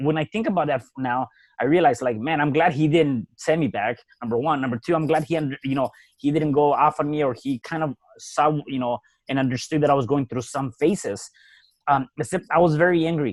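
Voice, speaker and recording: A man with a Spanish accent and a fairly high pitch talks at a fairly quick pace in a dry, close sound with no echo. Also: ordinary pitch variation. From Mexico City. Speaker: real estate entrepreneur and author. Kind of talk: podcast interview.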